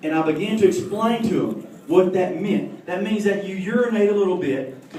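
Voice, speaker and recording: A man with a Southern US accent speaks with lively intonation amid noticeable background noise and audible room echo. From US South, Alabama. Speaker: comedian. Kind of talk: stand-up.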